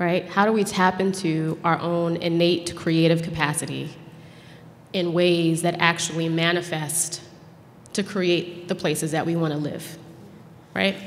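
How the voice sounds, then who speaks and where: Against light background noise, a woman with an American accent and fairly low pitch speaks at a fairly slow pace, monotone and flat, with long, frequent pauses. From US Northeast. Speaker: arts nonprofit founder. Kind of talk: panel discussion. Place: hall. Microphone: podium.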